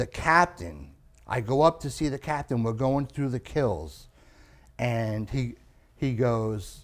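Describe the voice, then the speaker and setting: A man with a New York accent at medium pitch and very slow pace, with lively intonation, long, frequent pauses and a very clean recording with a silent background. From Long Island, New York. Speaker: comedian. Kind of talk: casual chat. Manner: halting.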